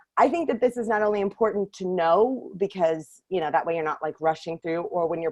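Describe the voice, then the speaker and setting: A woman talks at a very fast clip with fairly low pitch and lively intonation, her voice dry and close with no echo. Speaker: workshop leader for screenwriters. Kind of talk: online workshop talk. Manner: animated.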